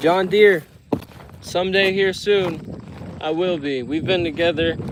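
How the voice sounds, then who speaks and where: The speech moves at a fairly slow pace with fairly even intonation. Background noise is noticeable. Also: man, high pitch for a man. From United States. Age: 20s. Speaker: fishing streamer. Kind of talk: casual chat.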